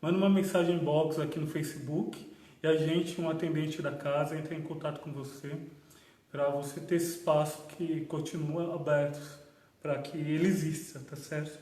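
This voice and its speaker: A man's fairly high, flat monotone voice at a moderate pace, with audible room echo and noticeable background noise. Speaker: spiritist center host. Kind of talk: livestream announcements. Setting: Facebook livestream.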